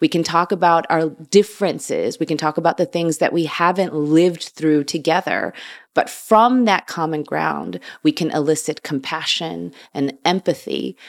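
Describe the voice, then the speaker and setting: A woman with an American accent speaks at a moderate pace, her fairly low voice carrying vocal fry and ordinary pitch variation. The recording is very clean, with a silent background. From US Midwest, Chicago. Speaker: vegan food writer and podcaster. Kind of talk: casual interview chat.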